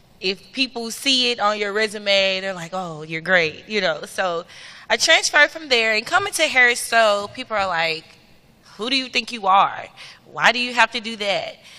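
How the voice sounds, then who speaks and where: A woman with a slight Memphis accent speaks at a moderate pace, her fairly high voice bright and sharp with lively intonation. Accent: Southern (Memphis), slight. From US South, Memphis, Tennessee. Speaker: student government president, panelist. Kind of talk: panel discussion.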